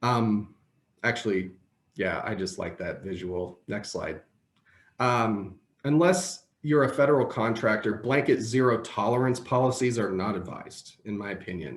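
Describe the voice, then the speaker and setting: A man at medium pitch in a normal speaking voice, with lively intonation at a moderate pace. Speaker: employment lawyer. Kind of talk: webinar presentation. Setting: video call.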